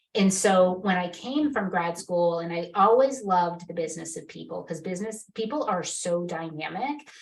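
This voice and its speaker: A woman with an American accent speaks at a moderate pace in an ordinary speaking voice, her fairly low pitch carried by lively intonation. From Massachusetts, New England. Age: 50s. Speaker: marketing executive. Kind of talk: interview conversation.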